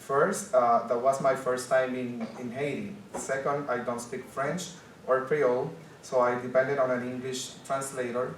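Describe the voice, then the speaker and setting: Over noticeable background noise and audible room echo, a man with a Spanish accent talks at a fairly slow pace with ordinary pitch variation. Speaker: journalist. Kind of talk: conference panel presentation. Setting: conference panel with audience.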